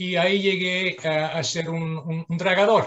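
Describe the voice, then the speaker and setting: Someone with a Dutch accent speaks at a very slow pace. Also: man. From southern Netherlands. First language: Dutch (speaking Spanish). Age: 60s. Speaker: dredging engineer. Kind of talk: presentation. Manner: halting, many fillers.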